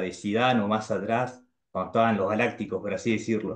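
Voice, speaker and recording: A man with a Rioplatense accent, medium pitch, fairly even intonation and a fairly quick pace, against a quiet background. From Argentina. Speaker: YouTuber. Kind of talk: casual chat. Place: home room. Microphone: video call.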